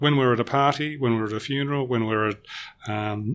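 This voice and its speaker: Speaking at a fairly quick pace, a man with an Australian accent has a medium pitch and ordinary pitch variation. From Melbourne, Australia. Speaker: corporate trainer. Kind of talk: podcast interview.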